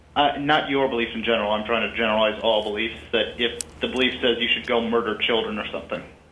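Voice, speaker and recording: The speech comes at a fairly quick pace with audible room echo around it. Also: man. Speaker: caller. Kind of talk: casual chat. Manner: halting.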